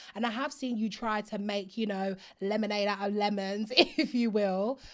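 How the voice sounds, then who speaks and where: In a very clean recording with a silent background, a woman with an Essex accent speaks at a moderate pace and a fairly high pitch. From Essex, England. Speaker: podcast host. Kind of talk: casual interview. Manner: animated.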